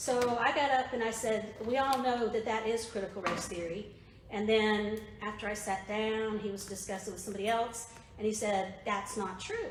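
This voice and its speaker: Over noticeable background noise and audible room echo, a woman with a Southern US accent speaks at a moderate pace and fairly high pitch with fairly even intonation. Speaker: political activist / presenter. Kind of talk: presentation to a political group. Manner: conversational, with fillers.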